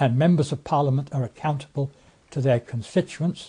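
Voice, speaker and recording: A man's somewhat breathy voice in an RP accent, medium in pitch, with ordinary pitch variation and a moderate pace. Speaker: former member of parliament. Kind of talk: presentation. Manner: halting.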